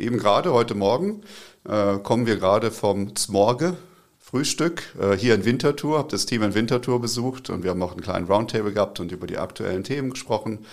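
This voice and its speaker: A man speaks at a fairly quick pace and a medium pitch, with ordinary pitch variation, on a very clean recording with a silent background. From northern Germany, Braunschweig. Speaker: company CEO. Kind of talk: interview. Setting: studio.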